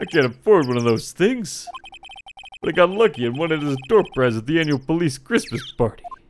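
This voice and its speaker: A man's put-on character voice, fairly high in pitch, with very wide pitch swings and a fairly quick pace. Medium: game stream. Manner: earnest, bumbling.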